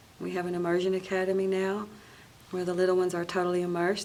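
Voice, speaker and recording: Over audible room echo, a woman with a medium pitch talks at a very fast pace in a monotone, flat intonation. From western North Carolina (Cherokee). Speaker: singer and cultural preservationist. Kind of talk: interview conversation.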